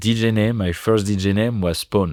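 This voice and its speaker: A man with a French accent, fairly low pitch and ordinary pitch variation. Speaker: DJ and producer. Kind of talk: podcast interview. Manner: halting, many fillers.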